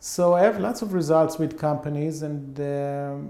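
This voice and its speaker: Over noticeable background noise, a man talks at a fairly slow pace with an Israeli accent. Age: 50s. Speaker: behavioral economics professor. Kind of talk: interview.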